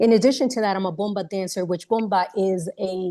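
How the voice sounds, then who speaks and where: Her medium-pitched voice is dark and mellow, with fairly even intonation as the woman speaks at a moderate pace. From New York, of Puerto Rican parents. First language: Spanish. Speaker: psychotherapist. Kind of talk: webinar panel introduction. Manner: halting, many fillers and repeats.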